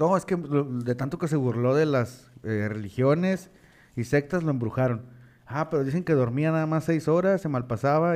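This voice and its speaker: A man with an unremarkable speaking voice talks at a moderate pace and a fairly high pitch, with lively intonation over a quiet background. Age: 20s. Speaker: podcast co-host. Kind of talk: casual chat. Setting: live stream.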